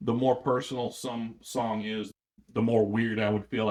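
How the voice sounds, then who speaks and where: Fairly low in pitch, a man talks at a moderate pace. He has an ordinary speaking voice. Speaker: musician. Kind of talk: interview.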